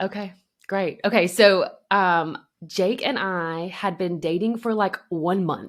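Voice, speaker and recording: A woman speaks very slowly. The rise and fall of her pitch is ordinary. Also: medium pitch for a woman. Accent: Southern US. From US South, Alabama. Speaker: podcast co-host. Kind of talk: casual chat. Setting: remote recording.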